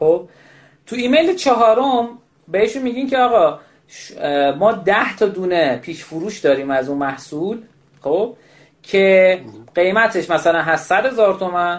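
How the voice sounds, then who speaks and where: Lively intonation marks this voice at a moderate pace. Long, frequent pauses come often. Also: man, high pitch for a man. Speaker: podcast host. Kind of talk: news reading. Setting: remote live call. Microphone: echo from mic near speaker, poor quality.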